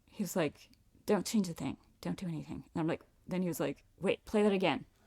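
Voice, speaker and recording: Soft-spoken and very fast, a woman talks in an American accent at a fairly low pitch. Her tone is dark and mellow, with vocal fry. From Virginia (Reston). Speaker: singer-songwriter. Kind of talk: casual interview chat.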